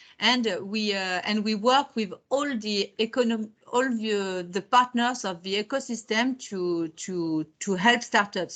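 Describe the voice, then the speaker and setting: Speaking very slowly in a French accent, a woman uses ordinary pitch variation. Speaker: technology park and incubator representative. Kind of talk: webinar presentation. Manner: halting, with many repetitions and fillers.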